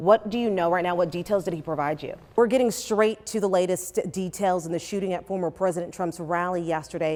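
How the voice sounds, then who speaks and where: A woman with an American accent speaks fairly quickly with hardly any pauses, at medium pitch with ordinary pitch variation, in an ordinary speaking voice. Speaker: TV news anchor and reporter. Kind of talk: news anchor and field reporter delivery. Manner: upbeat, outgoing, relatable.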